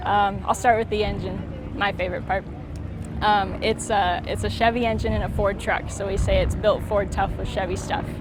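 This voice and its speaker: With a relaxed tone and an American accent, a woman talks at a moderate pace amid noticeable background noise and audible room echo. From Iowa, US Midwest. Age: 20s. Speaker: classic car owner. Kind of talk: casual interview. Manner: relaxed, many filler words.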